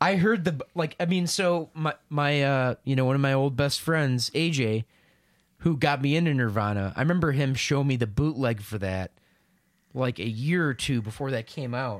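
In a normal speaking voice, the speaker moves at a moderate pace with lively intonation. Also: man, fairly high pitch for a man. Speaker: podcast co-host and musician. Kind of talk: casual chat.

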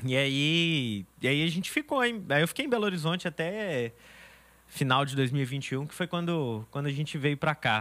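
This man talks at a moderate pace with lively intonation and fairly high pitch, in an unremarkable speaking voice. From Brazil, Minas Gerais (born in Bahia). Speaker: youth leader at church. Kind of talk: casual chat.

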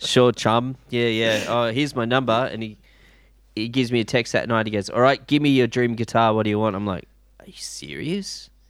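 This speaker is a man with an Australian accent. He talks fairly quickly. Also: medium pitch for a man, ordinary pitch variation. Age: 40s. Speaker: guitarist and DJ. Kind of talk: casual chat. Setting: video call.

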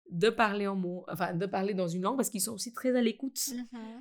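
A woman speaks at medium pitch. Her pitch variation is ordinary. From India. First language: Indian language (Hindi/Marathi) (speaking French). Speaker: school founder and language teacher. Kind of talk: casual chat.

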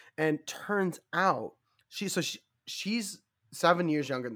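On a very clean recording with a silent background, a man's bright, sharp tone carries lively intonation. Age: 30s. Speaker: film podcast host. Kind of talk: casual chat.

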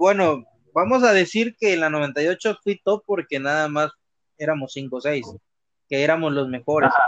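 A man with a normal speaking voice talks at a moderate pace and fairly high pitch, with lively intonation and a dry, close sound with no echo. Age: 30s. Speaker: gamer. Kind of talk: casual interview. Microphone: choppy connection.

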